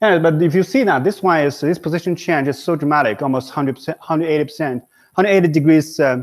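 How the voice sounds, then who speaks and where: A man's very fast, fairly high-pitched speech with a Chinese accent and ordinary pitch variation, on a very clean recording with a silent background. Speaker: professor. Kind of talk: lecture. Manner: halting, many fillers.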